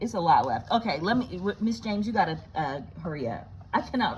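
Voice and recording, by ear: Natural-voiced reading aloud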